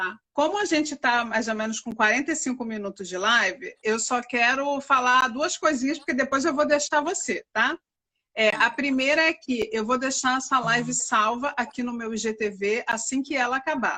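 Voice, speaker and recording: The voice is raised and projected with a bright, sharp tone, moving at a moderate pace with hardly any pauses. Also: woman, high pitch for a woman, ordinary pitch variation. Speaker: live stream host. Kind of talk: live stream talk. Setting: live stream.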